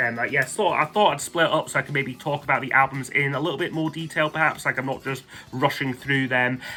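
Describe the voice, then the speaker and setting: A man at a fairly quick pace, fairly high in pitch, with fairly even intonation and a Scottish accent. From Scotland. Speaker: music YouTuber. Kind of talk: casual monologue countdown. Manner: hesitant, many fillers.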